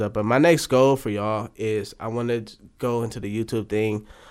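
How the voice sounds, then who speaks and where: A man's medium-pitched voice with fairly even intonation at a moderate pace, on a very clean recording with a silent background. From Oakland, California. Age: 20s. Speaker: podcast guest, aspiring food show creator. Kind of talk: casual chat.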